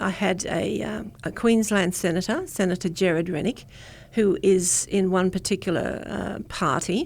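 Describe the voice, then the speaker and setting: With an Australian accent, a woman speaks at a moderate pace with a medium pitch, vocal fry and ordinary pitch variation on a very clean recording with a silent background. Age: 70s. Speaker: community political organiser. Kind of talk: radio interview. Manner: halting.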